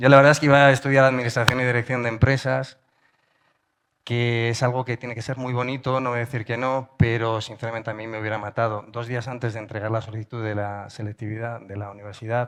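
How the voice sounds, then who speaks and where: The voice races along at a very fast pace with a monotone, flat intonation. Its loudness swings widely. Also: man, medium pitch for a man. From Spain. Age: middle-aged. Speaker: journalist and podcaster. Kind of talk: conference talk. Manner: casual, hesitant with fillers.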